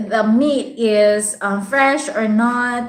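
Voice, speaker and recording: With a Visayan accent, a woman talks very slowly in a high voice with ordinary pitch variation, and the room echo is audible. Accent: Bisaya Filipino. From Philippines, Visayas. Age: 30s. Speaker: vlogger. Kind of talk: live stream chat with viewers. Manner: casual, hesitant with many fillers.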